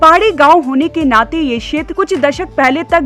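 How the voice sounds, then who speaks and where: A woman talks with lively intonation while music plays in the background. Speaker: news narrator. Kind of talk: TV news report narration.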